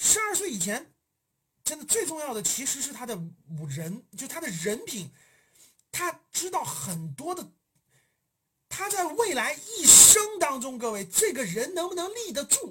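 An animated tone at a fairly slow pace, with long, frequent pauses. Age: 40s. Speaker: finance education livestream host. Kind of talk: livestream talk to an audience. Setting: livestream. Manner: halting, many filler repetitions; animated, emphatic.

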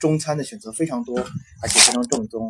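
Ordinary pitch variation in a man's medium-pitched voice. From China. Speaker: recent university graduate, former international student. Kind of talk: interview. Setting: host's home. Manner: halting.

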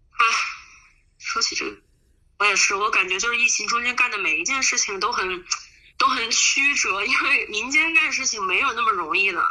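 A woman speaks at a fairly high pitch and a fairly quick pace, with lively intonation. Her speech is broken by long, frequent pauses. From Huanggang, Hubei, China. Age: 20s. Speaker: volunteer. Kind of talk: interview.

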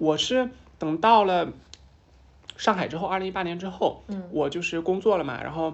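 A woman talks at a moderate pace with a medium pitch and ordinary pitch variation. Her speech is broken by long, frequent pauses. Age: 20s. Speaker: transgender woman sharing her life story. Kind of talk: casual chat. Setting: office meeting room, candlelit, with wine.

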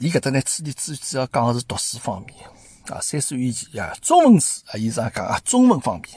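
A man's somewhat breathy, medium-pitched voice at a fairly quick pace, with lively intonation and big swings in loudness. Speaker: podcast host. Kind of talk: casual commentary monologue. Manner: halting, many fillers.

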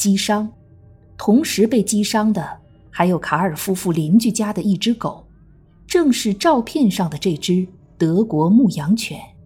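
Music plays behind a woman who speaks fairly slowly with lively intonation. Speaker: true crime podcast narrator. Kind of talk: true-crime narration, scripted storytelling. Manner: grave, measured, steady, suspenseful; formal, even, newsreader-like.

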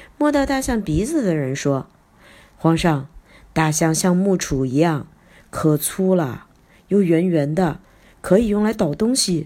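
Speaking at a very slow pace, a woman uses a fairly low voice with a dark, mellow tone, very wide pitch swings and big swings in loudness. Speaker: children's storytelling teacher. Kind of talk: storytelling for children. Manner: animated, acts out characters' lines.

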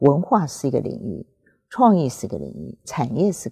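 A woman's very deep, low voice with a Taiwanese accent, dark and mellow, with vocal fry and very wide pitch swings at a moderate pace over a quiet background. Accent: Taiwanese Mandarin. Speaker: former museum director. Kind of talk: interview. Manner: halting; formal.

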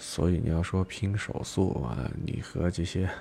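Quiet and very deep, a man's low voice moves at a very slow pace. His intonation is lively. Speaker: livestream radio host. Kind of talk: late-night call-in chat. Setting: at home, live stream. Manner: deliberately low, hushed voice; repetitive, filler-heavy talk.

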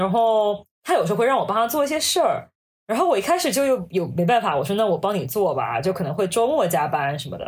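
On a very clean recording with a silent background, a woman at medium pitch speaks very fast, her pitch swinging very widely. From China, Hangzhou. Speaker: management consultant. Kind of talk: casual interview chat.

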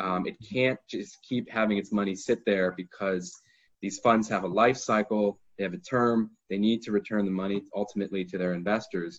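At a moderate pace over a quiet background, a man with an American accent and a plain, everyday voice speaks at a fairly low pitch with fairly even intonation. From United States. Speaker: lawyer. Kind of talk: webinar talk. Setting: online webinar.

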